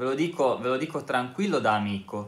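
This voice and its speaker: At a moderate pace, a man is speaking. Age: 30s. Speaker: YouTuber, ex-Jehovah's Witness; vlogger. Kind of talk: casual vlog monologue. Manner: halting. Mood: earnest, calm, persuasive. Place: home room. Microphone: phone near.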